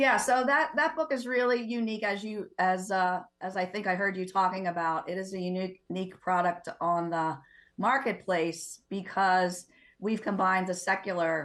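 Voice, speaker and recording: A woman speaks at a medium pitch and moderate pace with lively intonation in a very clean recording with a silent background. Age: 60s. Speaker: diocesan marriage ministry director and co-author. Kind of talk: TV talk show interview. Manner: hesitant, many fillers and repetitions.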